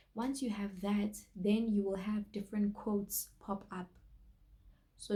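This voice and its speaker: Somewhat breathy and at a medium pitch, a woman's voice carries a dark, mellow tone. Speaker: online store owner and vlogger. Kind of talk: tutorial. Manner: casual, with fillers.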